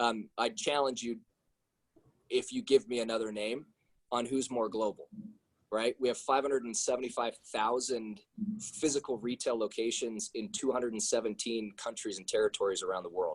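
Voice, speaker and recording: An energetic-toned man at a moderate pace. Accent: General American. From Seattle, US Pacific Northwest. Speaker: corporate manager speaking to students. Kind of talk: talk to students by video call. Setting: video call. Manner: loud.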